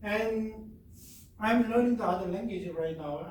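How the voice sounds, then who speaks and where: Someone talks at a fairly slow pace in a Korean accent, with ordinary pitch variation. Room echo can be heard. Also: man. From South Korea. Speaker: professor. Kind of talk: lecture. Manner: halting.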